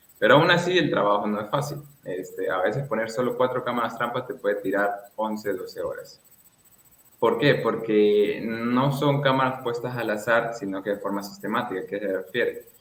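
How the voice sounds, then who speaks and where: A man talks at a moderate pace in an ordinary speaking voice, at a medium pitch with ordinary pitch variation. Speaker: conservation foundation president, fieldwork researcher. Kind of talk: radio interview answer.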